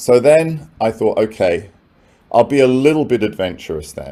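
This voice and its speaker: A man with a London accent has a dark, mellow tone and lively intonation. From London, England. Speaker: professor. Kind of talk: keynote talk. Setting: conference with audience. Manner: conversational.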